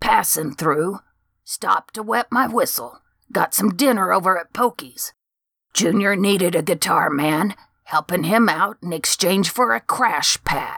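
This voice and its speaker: This is a put-on character voice. It sits at a middle pitch and moves at a moderate pace. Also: female-sounding voice. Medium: read story. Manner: eager, excitable, rambling.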